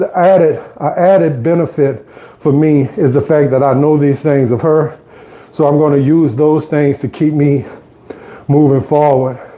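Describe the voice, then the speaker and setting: With a New Orleans accent, a man speaks at a fairly high pitch and a fairly slow pace. His loudness stays very even and his intonation fairly even. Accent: New Orleans Southern US. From US South, New Orleans. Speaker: fitness vlogger. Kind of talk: casual live stream chat while exercising. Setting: on an exercise bike at home.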